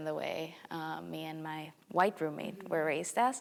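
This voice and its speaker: A woman with a Spanish accent speaks at a fairly low pitch. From El Salvador. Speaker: university student. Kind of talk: casual chat.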